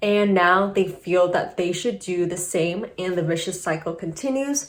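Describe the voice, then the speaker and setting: Someone with a normal speaking voice talks at a fairly slow pace, using ordinary pitch variation. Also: woman. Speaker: YouTuber, former investment banker. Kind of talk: casual video commentary.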